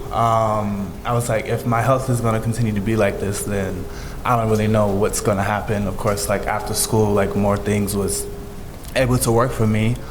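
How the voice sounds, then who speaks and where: A man's fairly low-pitched voice with monotone, flat intonation, audible room echo and noticeable background noise. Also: moderate pace. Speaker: musical theatre performer. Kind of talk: panel discussion.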